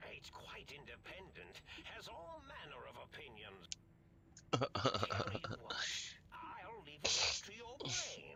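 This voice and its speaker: Someone whispers in a put-on character voice at a fairly slow pace. Clear background noise can be heard. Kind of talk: eccentric mad scientist. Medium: video game. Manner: rambling, hesitant, verbose.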